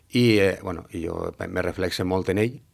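The background is quiet. Intonation stays fairly even. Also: man. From Valencia city, Spain; Spain. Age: 50s. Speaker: former pilota player; interviewee. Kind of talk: interview. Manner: halting, many fillers. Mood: calm, reflective, smiling.

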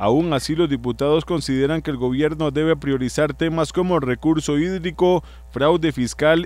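A man's fairly high voice at a moderate pace, with fairly even intonation and music in the background. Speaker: news reporter. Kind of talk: news reading.

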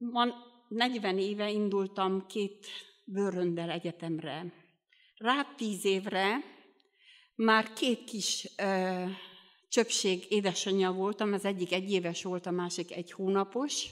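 Against a quiet background, a woman at medium pitch speaks very slowly with long, frequent pauses and ordinary pitch variation. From Romania, Bihor region (Hungarian minority); Romania. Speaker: lay preacher at a Baptist youth meeting. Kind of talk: sermon. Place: church. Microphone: studio mic.

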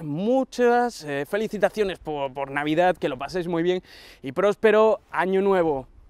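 A man speaks at a moderate pace in a high voice, with a dry, echo-free sound and a quiet background. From Andalusia, Huelva; Andalusia. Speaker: tech YouTuber. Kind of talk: casual vlog address to viewers. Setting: outdoors on a long avenue. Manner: hesitant, many fillers. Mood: warm, grateful. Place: garden.

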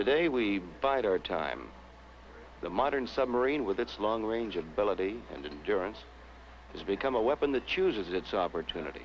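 A man with a fairly low pitch talks at a moderate pace, his voice swinging very widely in pitch over light background noise. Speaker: documentary narrator. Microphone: old recording.

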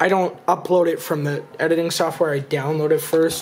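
Faint music plays behind a man speaking at a moderate pace with ordinary pitch variation. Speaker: youtuber. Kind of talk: casual vlog chat. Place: home room.

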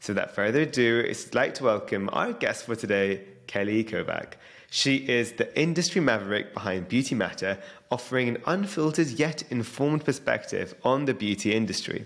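With lively intonation and a fairly quick pace, a man talks while the background stays quiet. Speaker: podcast host. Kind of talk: podcast intro. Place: studio. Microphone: studio mic.

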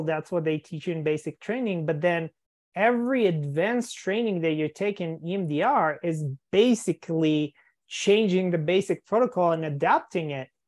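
Against a quiet background, a woman with an ordinary speaking voice and a fairly low pitch talks at a moderate pace with lively intonation. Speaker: EMDR therapist and podcast host. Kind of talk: interview conversation. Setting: live video call. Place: home room. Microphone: video call.

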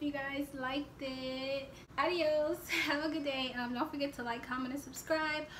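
With an American accent, a woman speaks at a high pitch. Her intonation is monotone and flat, and there is noticeable background noise. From Louisiana. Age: 20s. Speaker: YouTuber. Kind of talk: casual vlog. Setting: home. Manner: chatty.

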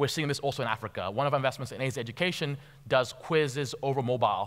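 The background is quiet. A man speaks at a very fast pace. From Tanzania, schooled in Nairobi. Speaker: venture capital investor. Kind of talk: conference talk. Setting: stage with audience. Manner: halting with fillers and repetitions. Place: stage. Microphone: headset.

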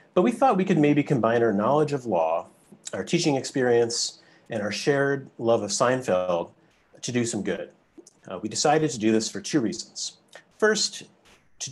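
Lively in intonation, a man speaks at a moderate pace. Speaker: host law professor. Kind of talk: prepared welcome remarks. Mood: light but earnest. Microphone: video call.

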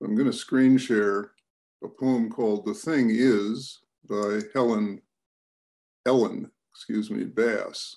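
A man with an American accent talks at a very slow pace with long, frequent pauses. His pitch is medium and his intonation fairly even. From United States. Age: 80s+. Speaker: writer and speaker. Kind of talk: talk to a group. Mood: calm, gentle. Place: home room. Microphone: video call.

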